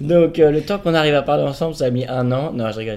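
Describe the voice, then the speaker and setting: With an unremarkable speaking voice, a man uses a fairly high pitch and ordinary pitch variation. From Paris, France. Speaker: host's partner. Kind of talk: casual chat.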